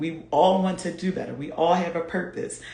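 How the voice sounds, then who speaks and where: A woman talks in an animated tone. Her pace is fairly slow, and audible room echo surrounds her. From US, Philadelphia. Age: 40s. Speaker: fitness coach. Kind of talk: live stream chat.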